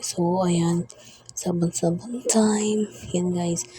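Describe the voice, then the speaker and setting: There is noticeable background noise. A woman speaks fairly slowly at medium pitch. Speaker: vlogger. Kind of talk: voice-over narration. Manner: halting, broken-up speech; casual, chatty.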